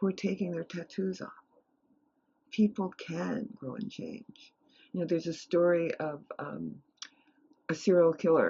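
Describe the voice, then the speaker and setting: A woman with an American accent speaks at a medium pitch with ordinary pitch variation and a somewhat breathy voice. She takes long, frequent pauses, and her loudness swings widely. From New York City (Harlem). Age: 70s. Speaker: meditation teacher and retired professor. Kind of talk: interview.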